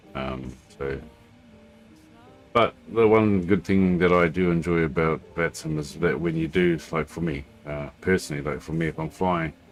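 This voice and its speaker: A man with a New Zealand accent, very deep and low in pitch, ordinary pitch variation, a moderate pace and music in the background. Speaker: flight sim streamer. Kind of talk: casual livestream chat. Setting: home, at a computer. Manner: halting, many fillers.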